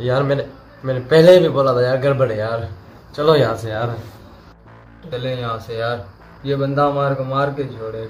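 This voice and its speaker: In a whiny, put-on character voice at medium pitch, a man talks at a moderate pace with fairly even intonation, big swings in loudness, long, frequent pauses and clear background noise. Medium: short film. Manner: fearful, whiny, pleading, repeats "yaar" constantly.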